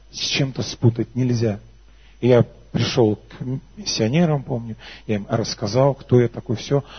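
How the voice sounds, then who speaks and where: Pausing long and often, a man speaks in a somewhat breathy voice of medium pitch with ordinary pitch variation. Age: 30s. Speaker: worship leader and preacher. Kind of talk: sermon with personal testimony. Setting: church service with congregation. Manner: animated.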